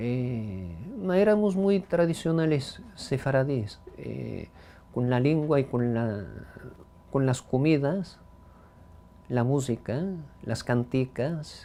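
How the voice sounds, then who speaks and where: The speech goes at a very slow pace with long, frequent pauses. Its pitch swings very widely. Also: man, medium pitch for a man. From US Northeast, the Bronx, New York. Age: old. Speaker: heritage language speaker. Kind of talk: life story interview. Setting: at home. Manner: halting, many fillers.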